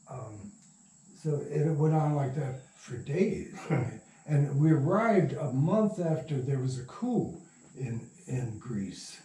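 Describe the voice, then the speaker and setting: A man's fairly high voice with lively intonation at a very slow pace, amid audible room echo and noticeable background noise. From US Midwest, Michigan. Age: 80s+. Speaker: radio drama producer. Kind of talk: interview storytelling. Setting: at home. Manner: halting.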